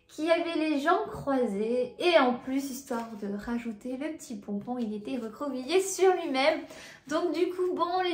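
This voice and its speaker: In a room with audible echo, a woman with a high pitch speaks at a fairly slow pace. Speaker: family vlogger. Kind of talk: casual vlog talk to camera. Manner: halting, many hesitations.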